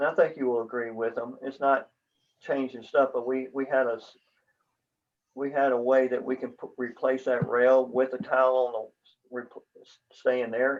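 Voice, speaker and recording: At a moderate pace, a man talks with a medium-pitched voice. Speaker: condo board member. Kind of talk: business meeting.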